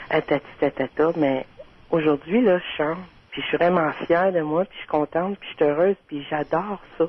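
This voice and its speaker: A woman speaks at a moderate pace with a fairly low pitch, fairly even intonation and big swings in loudness. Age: 30s. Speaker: caller. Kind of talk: casual chat.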